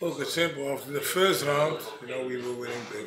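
Noticeable background noise runs beneath a man who talks at a moderate pace. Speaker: fight trainer. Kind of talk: interview answer. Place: shop. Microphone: lapel.

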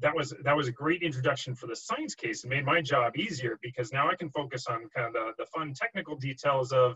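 In a quiet background, a man talks fairly quickly, his pitch varying in an ordinary way. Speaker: guest. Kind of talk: lecture. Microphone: video call.

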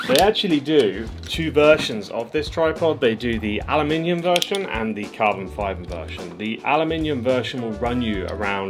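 Clear music plays behind a man speaking at a moderate pace. He hardly pauses at all. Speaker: gear reviewer. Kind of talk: product review vlog. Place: home room.

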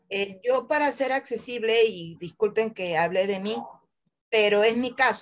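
Her pitch fairly high and her intonation lively, a woman speaks at a very slow pace. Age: 60s. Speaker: wheelchair user and church laywoman. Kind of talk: personal testimony in Q&A. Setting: video call. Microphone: video call.

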